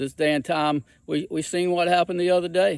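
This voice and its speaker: Speaking with a Southern US accent, a man talks at a moderate pace in a high pitch. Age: 60s. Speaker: hiking vlogger. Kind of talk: personal testimony. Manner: halting, repetitive.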